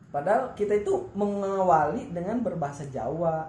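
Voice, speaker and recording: The voice has ordinary pitch variation. Audible room echo can be heard. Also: man. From West Java (Sundanese). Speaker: vlogger and podcast host, Islamic boarding school student. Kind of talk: casual interview chat.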